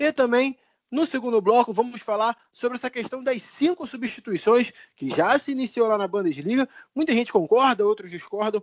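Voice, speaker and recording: A man speaks with a Rio de Janeiro accent. His pitch is extremely high. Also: ordinary pitch variation, moderate pace. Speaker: sports podcast host. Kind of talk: casual podcast chat.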